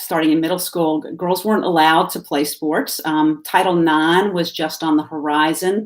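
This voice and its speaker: A woman speaks with a Southern US accent. Her intonation is monotone and flat. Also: fairly low pitch for a woman, moderate pace, hardly any pauses. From US South, Salisbury, North Carolina. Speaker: activist. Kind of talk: interview. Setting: live video stream. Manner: halting, many fillers.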